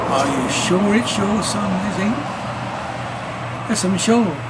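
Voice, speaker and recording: Noticeable noise runs in the background. Over it, a man talks. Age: 80s+. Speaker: amateur reciter. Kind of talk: poetry reading.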